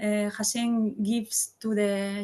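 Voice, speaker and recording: A woman speaks at a fairly high pitch in a somewhat breathy, monotone voice with flat intonation. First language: not English. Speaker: class participant. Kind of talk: group discussion. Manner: halting.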